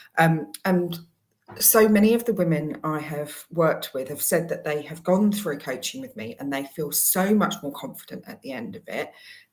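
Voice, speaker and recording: With a fairly low pitch and a somewhat breathy voice, a woman speaks at a moderate pace, her pitch swinging very widely and her loudness rising and falling in big swings. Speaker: career coach. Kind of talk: promotional talk to camera.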